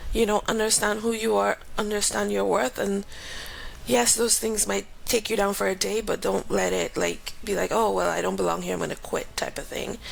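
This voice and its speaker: A woman's moderately paced speech comes through clearly audible background noise. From Grenada. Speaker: aerospace engineer and professor. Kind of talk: interview. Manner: casual.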